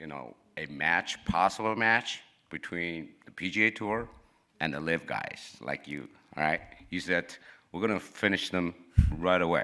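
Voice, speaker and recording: In a Chinese accent, a man with a very deep, low pitch and a bright, sharp tone talks fairly slowly with ordinary pitch variation and long, frequent pauses. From China. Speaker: reporter. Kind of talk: press conference question. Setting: interview room.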